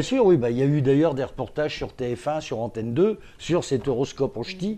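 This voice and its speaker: A man at a fairly high pitch, dark and mellow in tone with lively intonation, at a fairly quick pace over a quiet background. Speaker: regional radio presenter; stage performer. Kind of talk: interview answer.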